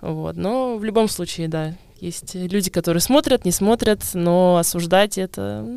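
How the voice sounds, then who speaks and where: On a very clean recording with a silent background, a woman with a fairly low pitch and a dark, mellow tone speaks fairly slowly with lively intonation. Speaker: podcast host. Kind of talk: casual chat.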